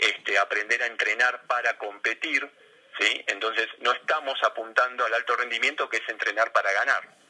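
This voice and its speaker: His delivery stays monotone and flat as a man talks in a medium register. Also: moderate pace. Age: 50s. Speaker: sports psychologist. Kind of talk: interview.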